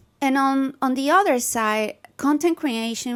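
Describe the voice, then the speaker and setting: This is a woman speaking. She has a Spanish accent. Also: dry, close sound with no echo, very clean recording, silent background. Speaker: holistic nutritionist. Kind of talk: casual talk to camera.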